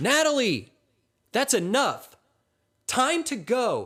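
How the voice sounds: A man's put-on character voice at an extremely high pitch, with very wide pitch swings, a fairly bright tone and a slow pace, on a very clean recording with a silent background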